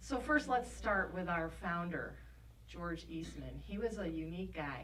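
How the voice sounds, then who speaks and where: A woman with a Rochester accent speaks at a fairly slow pace amid noticeable background noise and audible room echo. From Rochester, New York. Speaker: film industry representative. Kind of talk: workshop presentation. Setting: workshop with audience.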